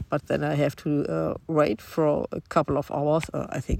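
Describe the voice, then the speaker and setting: A woman with a German accent speaks in a very deep, low pitch. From Germany. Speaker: long-distance hiker. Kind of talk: self-recorded audio diary. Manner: halting.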